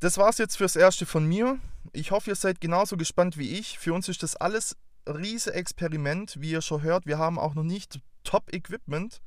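Heard on a very clean recording with a silent background, a man speaks at a high pitch and a moderate pace. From Swabia, near Stuttgart. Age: 20s. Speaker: podcast host. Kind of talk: show introduction monologue. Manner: talkative.

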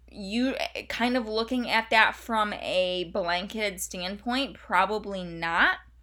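With noticeable background noise, a woman speaks at a very slow pace with hardly any pauses, using a fairly high pitch and ordinary pitch variation. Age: 20s. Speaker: sports nutrition podcast host, dietitian. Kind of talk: solo podcast monologue. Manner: casual, filler-heavy.

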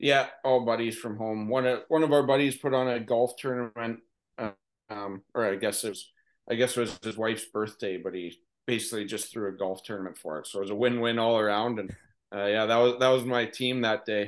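Against a quiet background, a man with a Canadian accent speaks at medium pitch with fairly even intonation. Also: fairly quick pace. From Ontario, Canada. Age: 30s. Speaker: ice hockey head coach. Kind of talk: casual interview. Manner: halting.

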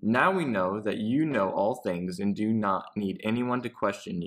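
Lively intonation marks this man's unremarkable speaking voice, which stays at a medium pitch and a fairly slow pace. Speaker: family member co-host. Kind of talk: Bible study discussion.

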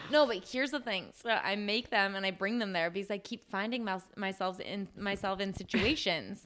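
A woman speaks at a medium pitch with a Midwestern American accent and ordinary pitch variation. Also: moderate pace. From US Midwest. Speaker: podcast co-host, speech pathologist. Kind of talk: casual chat. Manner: animated.

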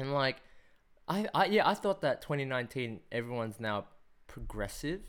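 This man has a medium pitch and an Australian accent, and his voice makes very wide pitch swings. The recording is very clean, with a silent background. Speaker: podcast host. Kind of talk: casual chat. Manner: animated.

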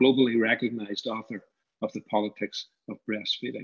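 A man of medium pitch talks at a fairly quick pace in a monotone, flat intonation. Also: dry, close sound with no echo. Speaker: university professor and creative industries director. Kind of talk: formal welcome speech. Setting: video call roundtable.

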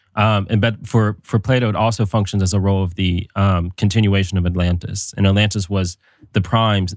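A man with a very deep, low voice speaks at a fairly quick pace in a flat monotone, on a very clean recording with a silent background. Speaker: podcast host. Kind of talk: casual panel discussion. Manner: hesitant, filler-heavy.

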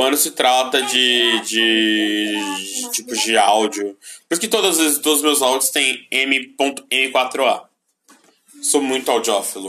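A man's medium-pitched voice at a very slow pace with music in the background. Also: ordinary pitch variation. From Brazil. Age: 20s. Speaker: vlogger. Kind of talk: casual chat. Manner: stutters easily; halting.

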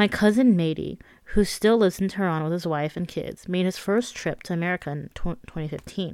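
In a normal speaking voice, a woman talks at a moderate pace. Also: very clean recording, silent background. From Iran, raised in California. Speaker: memoir author narrating audiobook. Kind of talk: audiobook narration.

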